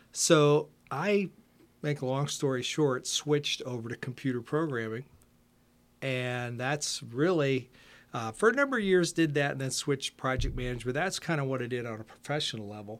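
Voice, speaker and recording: Here a man with an American accent has an unremarkable speaking voice, talking at medium pitch and moderate pace with ordinary pitch variation. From Ohio, US Midwest. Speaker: retired computer programmer and musician. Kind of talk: casual interview.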